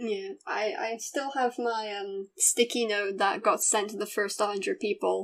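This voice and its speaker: Speaking with a British accent, a woman keeps a fairly slow pace and fairly even intonation at a fairly high pitch. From Britain. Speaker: YouTube interviewer. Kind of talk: casual interview chat.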